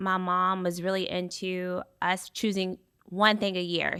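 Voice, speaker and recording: A woman talks at a very slow pace in a medium pitch with a bright, sharp tone. The recording is very clean, with a silent background. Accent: American. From Kentucky, US. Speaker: entrepreneur, podcast guest. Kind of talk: interview.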